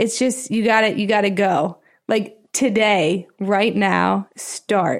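A woman's medium-pitched voice with an American accent and vocal fry, very slow in pace, with ordinary pitch variation, on a very clean recording with a silent background. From Pennsylvania, US. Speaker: TV business reporter. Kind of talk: casual interview chat.

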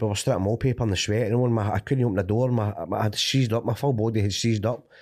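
A man with a Glasgow accent speaks very fast in a fairly low voice with fairly even intonation. The recording is very clean, with a silent background. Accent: Scottish (Glaswegian area). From Scotland, Cumbernauld. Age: 30s. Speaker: recovering addict sharing story. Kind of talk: testimony.

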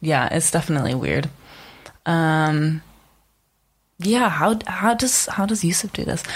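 The speaker talks at a fairly slow pace, with pitch that swings very widely. The voice is somewhat breathy. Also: woman. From Czech Republic. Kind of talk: casual chat.

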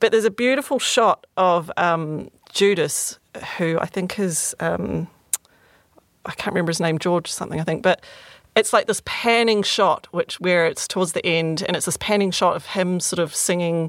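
Fairly low in pitch, a woman with an ordinary speaking voice talks at a moderate pace with ordinary pitch variation. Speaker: guest discussing film. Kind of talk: casual chat.

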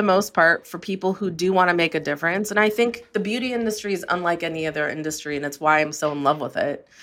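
Using a normal speaking voice, someone talks at a fairly quick pace with ordinary pitch variation. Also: woman. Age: 40s. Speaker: beauty entrepreneur and investor. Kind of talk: interview.

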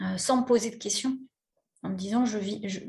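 Somewhat breathy and dark, mellow in tone, a woman's medium-pitched voice moves with ordinary pitch variation. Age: 40s. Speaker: interview guest sharing personal story. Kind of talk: personal testimony. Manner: hesitant, many fillers.

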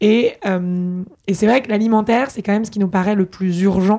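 A dark, mellow tone moves at a fairly quick pace with fairly even intonation. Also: woman. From Paris, France. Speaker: startup founder and CEO. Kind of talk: interview. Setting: at her home.

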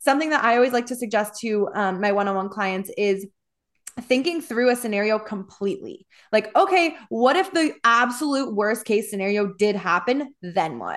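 A woman with an American accent, animated in tone and lively in intonation, at a moderate pace against a quiet background. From US Midwest. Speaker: podcast host and wellness coach. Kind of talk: casual chat.

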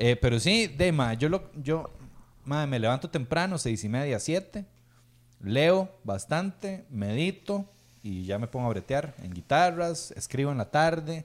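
A man with a Costa Rican accent speaks at a fairly slow pace. His fairly high voice swings very widely in pitch. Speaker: podcast host and musician. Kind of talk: casual chat.

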